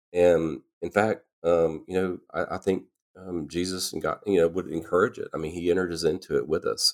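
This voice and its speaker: In a very clean recording with a silent background, a man with a Louisiana accent talks at a moderate pace. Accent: Southern US (Louisiana). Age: 50s. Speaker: podcast guest, host's husband. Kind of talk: casual faith conversation. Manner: halting, many filler words.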